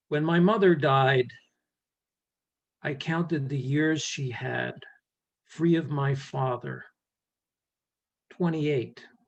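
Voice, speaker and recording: Speaking very slowly with a New York accent, the man uses a fairly high pitch and fairly even intonation, leaving long, frequent pauses. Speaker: poet. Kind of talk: poetry reading. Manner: halting, many fillers.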